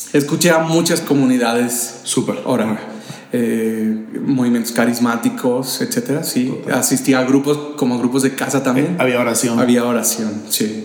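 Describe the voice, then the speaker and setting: A man speaks at a medium pitch with fairly even intonation. The recording has noticeable background noise and audible room echo. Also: moderate pace. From Mexico, Michoacán. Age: 30s. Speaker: church ministry leader and preacher. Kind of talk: casual interview conversation.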